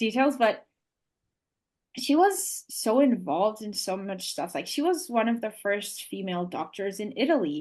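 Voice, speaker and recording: Against a quiet background, the speaker has a non-native accent, a moderate pace and very wide pitch swings. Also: woman, fairly high pitch for a woman. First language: not English. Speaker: Montessori educator. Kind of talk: podcast interview. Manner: halting.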